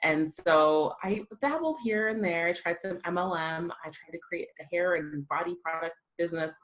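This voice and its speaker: Speaking at a moderate pace with hardly any pauses, a woman with a fairly low pitch keeps her intonation fairly even while her loudness swings widely. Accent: American. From US (raised from age six, born South Africa). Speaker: copywriting coach and entrepreneur. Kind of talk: podcast interview.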